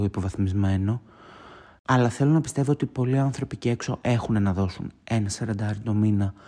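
A man speaks at a moderate pace in a fairly low voice with a dark, mellow tone. His intonation is fairly even, and the recording is very clean with a silent background. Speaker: podcast host. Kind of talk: solo casual monologue.

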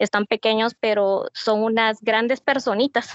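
A woman is speaking. Her pitch is fairly high. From Guatemala, Mazatenango. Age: 30s. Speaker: businesswoman and mother. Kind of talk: podcast interview.

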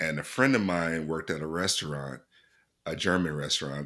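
With an American accent, a man speaks at a moderate pace in a very deep, low voice that has a bright, sharp tone and ordinary pitch variation. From Mississippi, US South. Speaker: podcast host. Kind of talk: casual chat.

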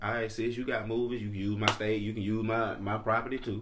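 With a Southern US accent, a man talks at a fairly quick pace and a fairly low pitch, with audible room echo. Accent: Southern US (Georgia). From Georgia, near Atlanta. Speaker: podcast co-host. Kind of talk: casual chat. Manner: animated.

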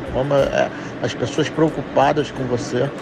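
Over noticeable background noise, a man talks at a moderate pace in a fairly high pitch with monotone, flat intonation. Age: 40s. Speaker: jiu-jitsu instructor. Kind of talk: interview answers recorded as voice messages. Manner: casual, with frequent fillers and repetitions.

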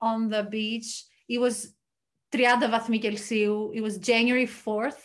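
A woman's fairly high voice with a Greek accent, monotone and flat in intonation, over a quiet background. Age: 30s. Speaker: podcast host. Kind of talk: casual chat.

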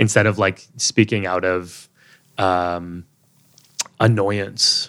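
In an American accent, a man talks in a very deep, low voice with monotone, flat intonation, recorded very cleanly against a silent background. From Texas, USA. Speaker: Sikh activist and writer. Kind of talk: interview conversation.

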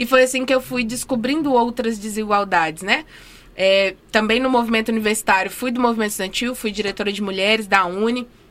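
With an unremarkable speaking voice, a woman talks at a fairly quick pace, her fairly high pitch varying in an ordinary way. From Minas Gerais, Brazil. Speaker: dentist and housing rights activist. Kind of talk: interview. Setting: studio.

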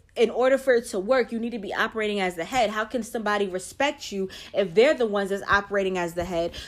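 Very fast pace and an animated tone. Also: woman. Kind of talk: faith-based talk.

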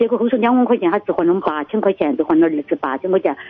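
A woman with a Sichuan-Chongqing accent speaks with lively intonation. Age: 60s. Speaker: caller to radio advice show. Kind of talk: phone-in call. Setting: phone call. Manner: halting.

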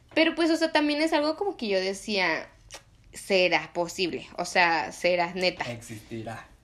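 Her medium-pitched voice showing vocal fry, a woman talks at a fairly slow pace with very wide pitch swings. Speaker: podcast host. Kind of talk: casual chat.

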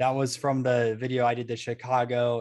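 With monotone, flat intonation, a man speaks at a medium pitch. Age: older than guest. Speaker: sports card collecting YouTuber. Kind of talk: casual interview.

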